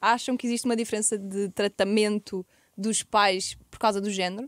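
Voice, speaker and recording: Recorded dry with no echo, a woman speaks at a fairly high pitch and a moderate pace. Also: quiet background. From Portugal. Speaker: podcast host. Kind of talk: casual chat. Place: studio. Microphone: studio mic.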